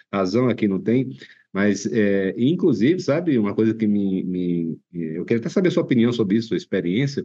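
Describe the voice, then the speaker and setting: Lively intonation marks this man's dark, mellow, medium-pitched voice at a moderate pace. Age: 30s. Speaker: podcast host. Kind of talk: interview.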